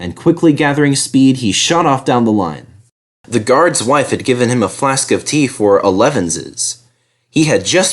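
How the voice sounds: The speaker uses a natural reading voice with lively intonation. Behind it, the background is quiet.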